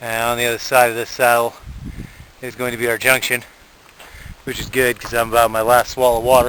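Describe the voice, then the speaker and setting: There is noticeable background noise behind a man's voice. He speaks at a moderate pace with a medium pitch. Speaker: hiking guidebook author. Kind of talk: on-trail field notes narration. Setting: outdoors on a hiking trail. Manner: hesitant, many fillers.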